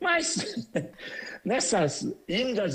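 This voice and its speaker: A man talks in a somewhat breathy voice with very wide pitch swings. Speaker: immigrant entrepreneur. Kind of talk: interview. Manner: repetitive hesitant.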